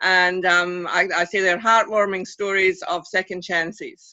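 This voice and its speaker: This is a woman speaking with a Scottish accent. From Scotland. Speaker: author. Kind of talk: interview. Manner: halting, many fillers.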